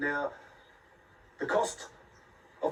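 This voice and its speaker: Noticeable background noise fills the recording. Over it, a man keeps to a moderate pace. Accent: New Zealand. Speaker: environmental campaigner. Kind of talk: interview on location.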